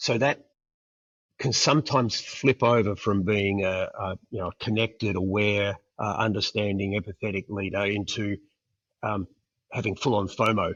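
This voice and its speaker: A man with an Australian accent, fairly low in pitch, with fairly even intonation. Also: moderate pace. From Perth, Australia. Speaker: international school executive. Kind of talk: interview answer.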